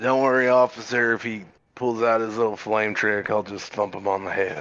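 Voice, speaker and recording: This is a put-on character voice at a moderate pace. The intonation stays fairly even. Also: man, medium pitch for a man. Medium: actual play. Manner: brash, swaggering.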